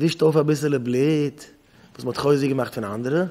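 Pitched fairly high, this man's delivery stays fairly even in intonation and comes across as a plain, everyday voice. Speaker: rabbi teaching yeshiva students. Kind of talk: lecture. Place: hall. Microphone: podium.

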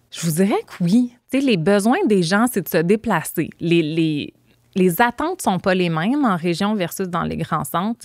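Against a quiet background, a woman talks at a fairly slow pace with a dry sound and no echo. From Quebec, Montreal suburbs; Quebec. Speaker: transit advocacy organization director; podcast guest. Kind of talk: podcast interview. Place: studio. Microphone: studio mic.

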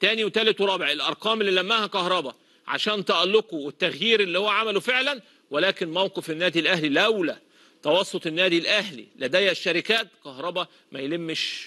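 A man speaks at a moderate pace in a raised, projected voice, pitched high for a man, with lively intonation and a bright, sharp, animated tone. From Egypt. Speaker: football pundit; TV presenter. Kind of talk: casual commentary monologue; TV commentary monologue. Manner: animated, repetitive emphasis. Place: studio.

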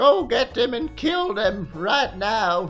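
Clear music plays behind a put-on character voice with a fairly high pitch and a very slow pace. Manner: barking, rallying.

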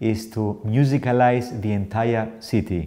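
The voice has a dark, mellow tone at a very slow pace. The background is quiet. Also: man. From Cyprus. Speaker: composer and artist in residence. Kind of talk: scripted project introduction. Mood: warm, enthusiastic. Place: home room.

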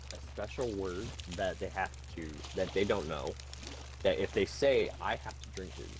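A man speaks at a moderate pace with long, frequent pauses and big swings in loudness, over noticeable background noise. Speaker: live-stream gamer. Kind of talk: casual chat during gaming stream. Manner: talkative and giggly.

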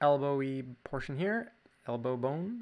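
With a Canadian accent, a man speaks at a fairly slow pace and a fairly high pitch. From Canada. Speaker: drawing teacher. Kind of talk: tutorial. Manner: casual. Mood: relaxed, playful.

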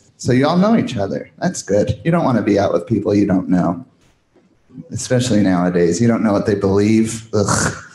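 Amid audible room echo, a man speaks at a fairly quick pace and fairly low pitch, with ordinary pitch variation and very even loudness. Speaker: stand-up comedian. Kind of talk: stand-up. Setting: stage with audience. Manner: animated.

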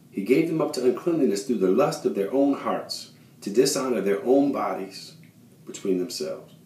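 Audible room echo surrounds a man speaking at a moderate pace. His pitch swings very widely. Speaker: lay preacher. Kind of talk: sermon. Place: bathroom. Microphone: phone near.

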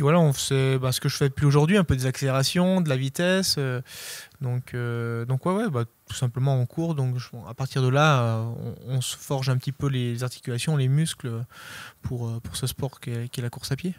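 A man speaks at a medium pitch and moderate pace in an unremarkable speaking voice, with ordinary pitch variation. The sound is dry with no echo, and the background is quiet. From Savoie, French Alps; French Alps. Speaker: ultra trail runner; interviewee. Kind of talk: interview. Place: shop. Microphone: handheld.

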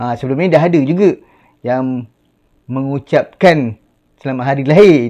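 A man with a dark, mellow tone and fairly high pitch talks at a moderate pace with ordinary pitch variation. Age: 40s. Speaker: YouTuber. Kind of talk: casual vlog talk to camera.

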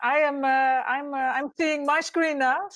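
Speaking at a moderate pace with a Dutch accent, a woman uses a high-pitched voice against a quiet background. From Netherlands. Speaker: architect and urban designer; architect giving a lecture. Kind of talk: lecture. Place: home room. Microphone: video call.

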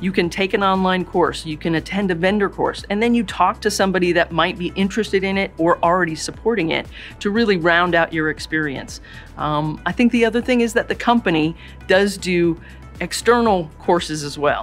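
Over faint background music, a woman talks at a fairly quick pace with ordinary pitch variation. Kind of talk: interview answer. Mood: warm, positive. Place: office.

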